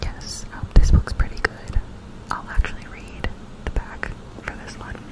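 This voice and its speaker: Fairly slow whispering from a woman. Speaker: book video creator. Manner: close-mic ASMR whisper. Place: home room. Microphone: studio mic.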